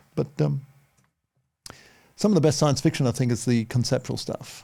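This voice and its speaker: Speaking at a moderate pace with an Australian accent, a man has a medium pitch, ordinary pitch variation and a dark, mellow tone with vocal fry. The recording is very clean, with a silent background. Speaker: visual effects artist. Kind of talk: casual chat.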